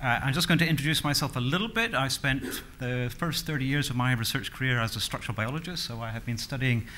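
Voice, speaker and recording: Bright and sharp in tone, a man's voice moves with ordinary pitch variation. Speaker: conference speaker. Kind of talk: lecture. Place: hall. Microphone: podium.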